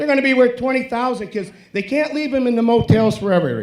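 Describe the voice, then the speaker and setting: Animated in tone, a man with an American accent speaks at a very fast pace with an extremely high pitch and ordinary pitch variation. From Joliet, Illinois (US Midwest). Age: 70s. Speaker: war veteran speaking at public comment. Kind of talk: public comment at township meeting. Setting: public meeting at podium.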